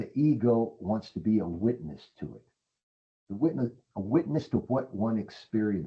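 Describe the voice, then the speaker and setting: Intonation here is lively, with vocal fry throughout. Loudness swings widely at a moderate pace. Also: man, fairly low pitch for a man. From Mexico. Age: 70s. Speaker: Jungian psychoanalyst. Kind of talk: webinar talk.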